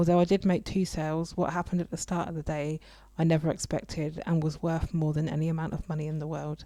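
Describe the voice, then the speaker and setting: This woman talks at a very fast pace in a dark, mellow tone with monotone, flat intonation. The recording is very clean with a silent background. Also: fairly low pitch for a woman. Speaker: radio show host. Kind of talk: radio show solo talk. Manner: reflective, personal.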